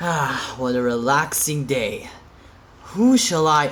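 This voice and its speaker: A put-on character voice at a low-to-middle pitch, fairly slow in pace, with audible echo. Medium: audio drama.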